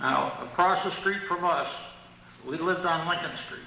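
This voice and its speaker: In an American accent, a man speaks at a moderate pace in a high pitch with monotone, flat intonation, with audible room echo and noticeable background noise. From US Northeast, Middletown, New York. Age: 70s. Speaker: local historian. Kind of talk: lecture.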